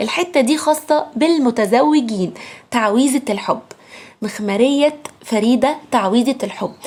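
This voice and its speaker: Speech comes at a fairly slow pace in an animated tone. Pitch varies in an ordinary way. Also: woman. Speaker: beauty product influencer. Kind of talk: sales pitch. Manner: lowered voice.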